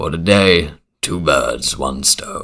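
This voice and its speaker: A man uses a put-on character voice. It is raspy and pitched very deep and low. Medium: actual play.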